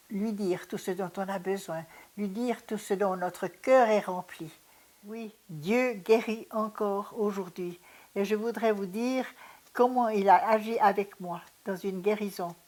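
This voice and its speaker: A woman at medium pitch with fairly even intonation and a very slow pace. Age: 80s+. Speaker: retired pediatric nurse. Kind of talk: testimony. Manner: halting.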